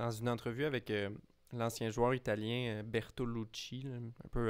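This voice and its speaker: At a fairly slow pace, a man with a Quebec accent speaks at a medium pitch in a monotone, flat intonation, on a very clean recording with a silent background. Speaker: tennis podcast co-host. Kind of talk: casual chat.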